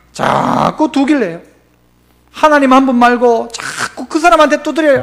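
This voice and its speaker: A man speaks at an extremely high pitch. His pace is fairly slow, with ordinary pitch variation. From Gyeongsang region, South Korea. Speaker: pastor. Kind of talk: sermon. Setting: church. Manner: animated, rhetorical questions to congregation.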